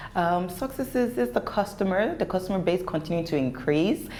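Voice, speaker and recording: A woman at a moderate pace is heard with audible room echo and noticeable background noise. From Nigeria (Lagos). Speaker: entrepreneur. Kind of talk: interview. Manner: pitch rises when passionate; animated.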